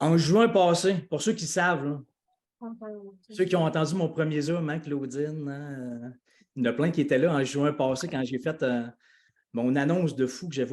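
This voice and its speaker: With a Quebec accent, a man speaks in an animated tone at a fairly high pitch with ordinary pitch variation. His pace is moderate, broken by long, frequent pauses. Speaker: life coach and speaker. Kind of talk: live video call announcement.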